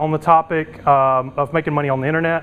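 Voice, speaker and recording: Over noticeable background noise, a man talks at a fairly quick pace. His fairly high voice has monotone, flat intonation. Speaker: internet entrepreneur and conference speaker. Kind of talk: conference presentation. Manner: fast.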